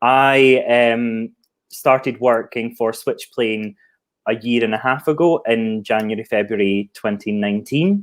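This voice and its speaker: This man has a Scottish accent and a medium-pitched voice. He speaks at a fairly slow pace with ordinary pitch variation. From Scotland. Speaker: marketing professional. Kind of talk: interview.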